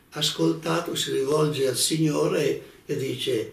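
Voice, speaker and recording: A man talks at a very slow pace, with audible room echo around his words. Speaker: religious teacher. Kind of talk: religious lecture. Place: home room.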